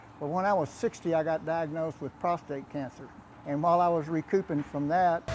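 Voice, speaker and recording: Music in the background behind a man with a Texan accent, fairly high-pitched and fairly quick, with fairly even intonation. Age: 80s+. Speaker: powerlifter. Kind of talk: interview.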